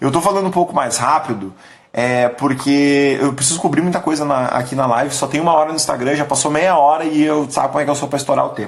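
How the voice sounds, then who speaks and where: A man speaks at a very fast pace with hardly any pauses, his pitch fairly high and his tone animated. His pitch variation is ordinary, and noticeable background noise can be heard. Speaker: business coach / company leader. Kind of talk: live stream talk. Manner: casual, animated.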